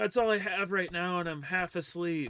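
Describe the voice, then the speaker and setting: Bright and sharp in tone, a man speaks at a fairly quick pace. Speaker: gaming streamer. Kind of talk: casual chat.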